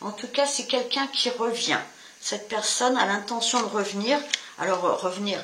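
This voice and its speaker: A woman speaks at a fairly slow pace in a fairly high voice with ordinary pitch variation. Audible room echo and noticeable background noise come through. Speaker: tarot reader. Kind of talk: tarot reading to camera. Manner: stumbling with fillers.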